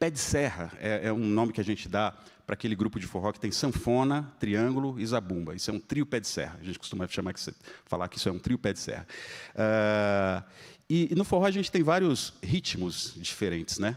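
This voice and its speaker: This man has a fairly low pitch and lively intonation at a fairly quick pace. The recording is very clean, the background silent. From Espírito Santo, Brazil (Vitória). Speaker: pianist. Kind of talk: live concert talk between pieces. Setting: stage with audience. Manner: casual, conversational.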